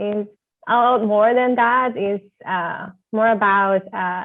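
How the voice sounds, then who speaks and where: A very slow voice with fairly even intonation in a Spanish accent. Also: woman. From Venezuela. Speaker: architecture graduate student. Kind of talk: interview. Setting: video call.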